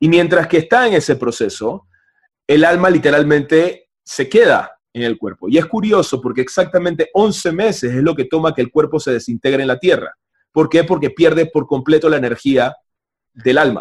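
A man talks at a moderate pace in a fairly high pitch, with ordinary pitch variation. It is an ordinary speaking voice, heard against a quiet background. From Panama. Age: 30s. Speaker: spiritual teacher. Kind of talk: casual chat. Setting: video call.

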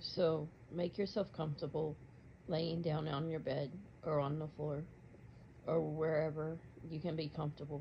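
A woman's very deep, low voice, somewhat breathy and monotone, at a moderate pace with long, frequent pauses. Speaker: meditation guide. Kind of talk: guided meditation. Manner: soft-spoken, measured, dreamy.

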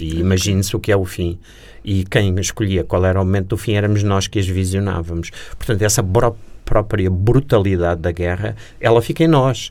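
Very deep and low in pitch, a man's voice moves at a fairly quick pace. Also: ordinary pitch variation. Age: 60s. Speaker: war reporter. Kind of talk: interview.

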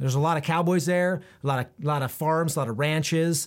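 This man has an unremarkable speaking voice with an American accent, a fairly high pitch and ordinary pitch variation. He speaks at a fairly quick pace in a very clean recording with a silent background. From Central Oregon, US. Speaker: podcast host interviewing business owners. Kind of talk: solo podcast monologue. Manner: frequent fillers and word repetitions.

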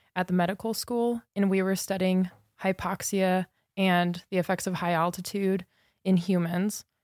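Dry, close sound with no echo, a very clean recording over a silent background, at a moderate pace. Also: woman. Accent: American. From Southern California. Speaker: graduate student, ecologist. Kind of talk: interview. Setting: studio.

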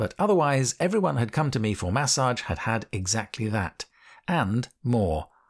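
Someone reads text aloud in a natural voice.

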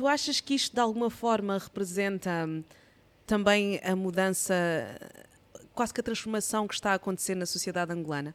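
A woman with a medium pitch speaks at a fairly quick pace, yet with long, frequent pauses. Her tone is animated, with ordinary pitch variation. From Angola. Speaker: podcast host. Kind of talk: show intro; casual interview chat.

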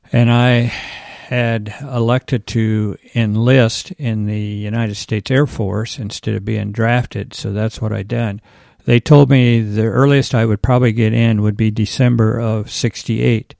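Against a quiet background, a plain, everyday voice with an American accent speaks at a fairly slow pace with fairly even intonation, the sound dry and close with no echo. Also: man, medium pitch for a man. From Iowa. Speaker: church volunteer. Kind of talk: interview.

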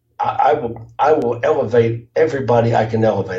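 There's noticeable background noise behind a man speaking with an American accent. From US South, Jacksonville, Florida. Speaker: car dealership consultant. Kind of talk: interview.

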